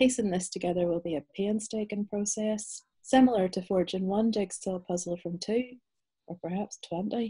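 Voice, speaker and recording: With a Northern Irish accent, a woman speaks at a moderate pace in a medium-pitched, somewhat breathy, dark and mellow voice with ordinary pitch variation over a quiet background. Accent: Northern Irish (Belfast). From Northern Ireland, Belfast. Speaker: novelist. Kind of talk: interview and reading aloud. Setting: video call. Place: home room. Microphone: video call.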